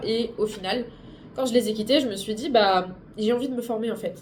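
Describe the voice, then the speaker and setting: Amid audible room echo, a woman speaks at a fairly high pitch with a dark, mellow tone, somewhat breathy and with fairly even intonation. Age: 20s. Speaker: booktuber and streamer. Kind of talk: vlog. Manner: halting.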